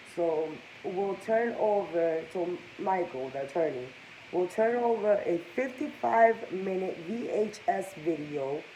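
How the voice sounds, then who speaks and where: A woman at a medium pitch and very slow pace, with lively intonation, audible room echo and noticeable background noise. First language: Spanish. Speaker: gossip vlogger. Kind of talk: casual commentary reading news aloud.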